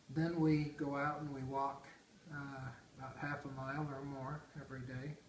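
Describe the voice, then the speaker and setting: With audible room echo and noticeable background noise, a man speaks at a moderate pace in a fairly high, monotone, flat voice. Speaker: retired grandfather interviewed by family. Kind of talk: casual family interview.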